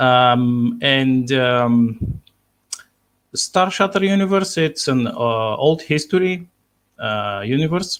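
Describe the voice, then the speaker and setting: Speaking very slowly with lively intonation, a man with a Bulgarian accent holds a medium pitch. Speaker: sci-fi author. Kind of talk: interview. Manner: halting, many fillers.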